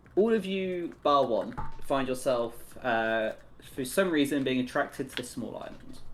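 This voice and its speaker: Over music in the background, a man talks at a moderate pace with a fairly high pitch and lively intonation. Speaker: tabletop game master. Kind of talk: tabletop roleplay narration. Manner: halting.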